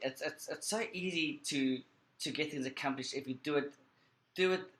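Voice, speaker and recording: Speaking with a South African accent, a man moves at a fairly quick pace, his fairly high pitch showing ordinary variation. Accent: South African accent, clearly audible. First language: Portuguese Creole. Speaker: screenwriter and film editor. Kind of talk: interview. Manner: halting, repeats words.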